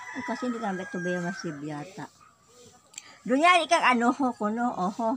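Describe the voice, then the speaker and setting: Over noticeable background noise, a woman with a fairly high pitch talks at a fairly quick pace, with very wide pitch swings and big swings in loudness. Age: old. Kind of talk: casual conversation.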